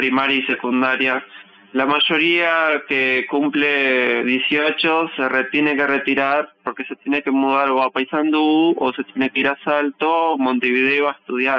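This man has an unremarkable speaking voice, fairly high in pitch, with fairly even intonation and a fairly slow pace. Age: 20s. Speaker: folk dancer. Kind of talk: interview testimony.

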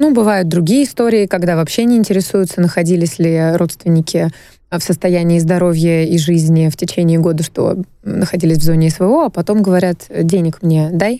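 A woman with a dark, mellow tone and fairly low pitch speaks at a moderate pace, her loudness very even and her pitch varying in an ordinary way. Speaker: radio host. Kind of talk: casual talk show discussion. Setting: radio studio. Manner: animated, playful.

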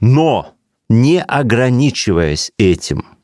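With very wide pitch swings around a medium pitch, a man is heard in a dry, close recording with no echo. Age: 50s. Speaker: theatre director and producer. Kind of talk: interview conversation. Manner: animated; repetitive, halting at times.

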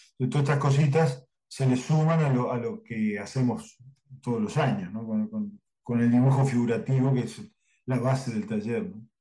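A man speaks at a medium pitch in a dark, mellow tone that is somewhat breathy. His pitch swings very widely. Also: moderate pace. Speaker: cartoonist and drawing teacher. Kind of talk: interview.

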